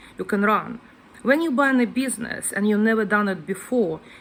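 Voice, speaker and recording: A woman with a Ukrainian accent speaks with a somewhat breathy voice at a fairly high pitch, with ordinary pitch variation. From Ukraine. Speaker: guest house owner. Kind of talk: casual vlog talk. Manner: hesitant, non-native phrasing.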